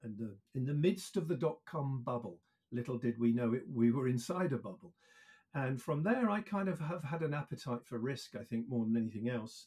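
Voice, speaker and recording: A man with a dark, mellow tone and a somewhat breathy quality speaks at a fairly quick pace, his medium pitch carried by lively intonation. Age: 60s. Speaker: EV industry consultant. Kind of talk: interview.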